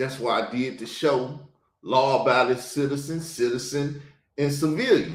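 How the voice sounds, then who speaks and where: Audible room echo surrounds a man with a Southern US accent and a fairly high pitch. He speaks at a moderate pace in an animated tone. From US South. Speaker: podcast host. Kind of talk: reaction commentary.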